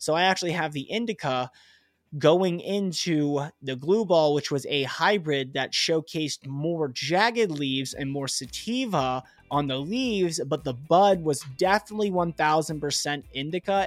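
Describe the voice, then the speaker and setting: Pitched fairly high, a man's normal speaking voice moves along at a moderate pace. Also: ordinary pitch variation. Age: 20s. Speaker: cannabis grower and podcast host. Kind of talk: solo podcast monologue. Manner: casual, filler-heavy.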